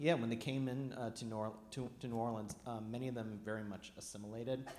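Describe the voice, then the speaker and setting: A man speaks with a Midwestern accent, and audible room echo surrounds his voice. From US Midwest, Highland Park near Chicago. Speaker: archivist and historian. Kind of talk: public talk to an audience. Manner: halting, many fillers.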